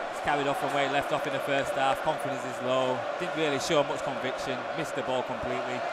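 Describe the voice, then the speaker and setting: The speech moves at a very fast pace over loud background noise. The sound is dry, with no echo. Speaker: co-commentator, match analyst. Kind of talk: live football co-commentary with analysis. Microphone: headset.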